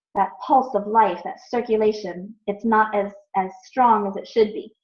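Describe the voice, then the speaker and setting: A woman's somewhat breathy, fairly high voice with an American accent, lively intonation and a fairly slow pace. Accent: American accent when saying Sanskrit. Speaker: ayurveda teacher. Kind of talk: online class review quiz.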